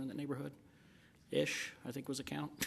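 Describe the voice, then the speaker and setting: Audible room echo hangs around the voice. A man talks at a moderate pace. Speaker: city council member. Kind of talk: council meeting remarks. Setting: council chamber meeting. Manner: halting.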